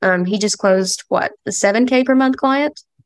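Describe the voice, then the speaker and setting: With an Appalachian accent, a woman talks at a moderate pace with ordinary pitch variation. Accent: US Southern (Appalachian). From Kentucky, Appalachia. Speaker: sales call team member. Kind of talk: casual interview. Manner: relaxed.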